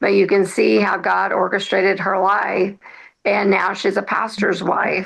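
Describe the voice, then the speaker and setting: There is vocal fry in this woman's medium-pitched voice. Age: 60s. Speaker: author. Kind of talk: interview conversation. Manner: halting, many fillers.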